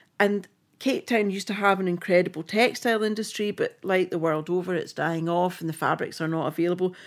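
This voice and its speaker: On a very clean recording with a silent background, a woman with a Scottish accent talks very fast at a medium pitch. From Scotland. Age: 50s. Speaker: film costume designer. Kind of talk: casual chat. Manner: animated.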